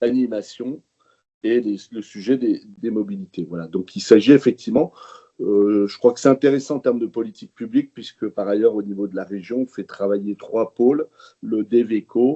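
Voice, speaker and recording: The man speaks at a medium pitch and moderate pace with ordinary pitch variation. His loudness swings a lot. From France, Jura. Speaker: regional politician. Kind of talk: webinar presentation. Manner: halting, many hesitations.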